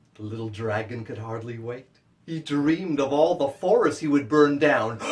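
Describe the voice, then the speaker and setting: With big swings in loudness, a man talks at a moderate pace in a normal speaking voice, fairly high-pitched, with ordinary pitch variation. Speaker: children's book author. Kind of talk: children's story performance for kids, as at school visits.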